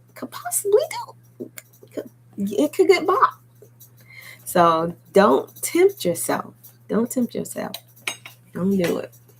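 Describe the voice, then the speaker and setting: Noticeable background noise accompanies a woman who speaks at a very slow pace with long, frequent pauses. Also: big swings in loudness. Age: 40s. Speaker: beauty vlogger. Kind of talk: casual chat. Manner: energetic.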